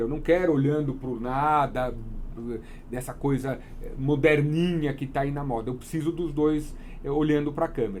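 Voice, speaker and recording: A man talks at a moderate pace with ordinary pitch variation. It is an unremarkable speaking voice. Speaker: wedding photographer. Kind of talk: interview.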